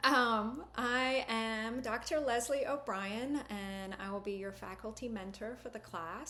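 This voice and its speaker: Here a woman's bright, sharp voice sits at a fairly high pitch with ordinary pitch variation. She speaks at a fairly slow pace, with audible room echo. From Britain. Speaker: university lecturer. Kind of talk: course welcome message.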